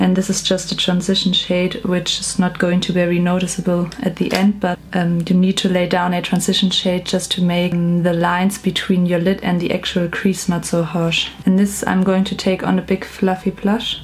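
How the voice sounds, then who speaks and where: A woman with a strong German accent speaks at a medium pitch in monotone, flat intonation and very even loudness. Her moderate pace has hardly any pauses, over noticeable background noise. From Germany. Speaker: beauty vlogger. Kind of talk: makeup tutorial. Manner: hesitant with fillers.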